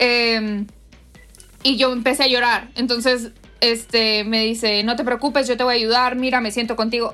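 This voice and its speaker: At a fairly quick pace, a woman talks in a fairly high, bright and sharp voice with fairly even intonation. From Monterrey, northern Mexico. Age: 20s. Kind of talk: interview.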